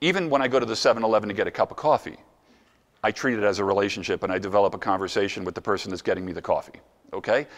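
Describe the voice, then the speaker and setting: Against a quiet background, a man with an American accent talks at a very fast pace in an animated tone and a fairly low pitch. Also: ordinary pitch variation. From New Jersey. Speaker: motivational speaker. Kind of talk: conference presentation. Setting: stage with audience.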